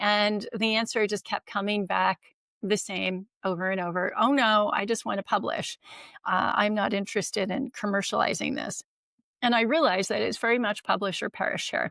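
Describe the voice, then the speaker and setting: Recorded very cleanly against a silent background, a woman with an American accent speaks at a moderate pace and medium pitch, her tone bright and sharp, the sound dry and close with no echo. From United States. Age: 60s. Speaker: longevity expert. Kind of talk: interview.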